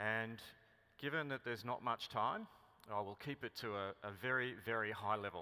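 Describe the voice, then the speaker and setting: At a moderate pace, a man speaks in a medium pitch with an Australian accent. His tone is bright and sharp, and his pitch varies in an ordinary way. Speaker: mining company executive. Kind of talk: conference keynote speech.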